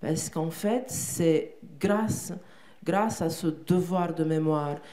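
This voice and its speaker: A woman speaks at a very slow pace with a fairly low pitch and ordinary pitch variation. Her tone is dark and mellow, with audible room echo. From Romania, Bucharest. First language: Romanian (speaking French). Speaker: poet and translator. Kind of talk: interview on stage. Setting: theatre stage with audience. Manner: halting, with many repetitions.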